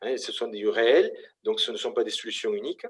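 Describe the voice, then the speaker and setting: A man talks at a moderate pace with a Toulouse accent. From southern France, Toulouse. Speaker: engineering school representative. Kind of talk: conference presentation. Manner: hesitant, many fillers.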